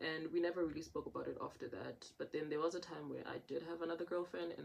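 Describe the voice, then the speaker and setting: A woman with a South African accent at a very fast pace. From South Africa, Johannesburg. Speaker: content creator. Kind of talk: casual chat. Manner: animated.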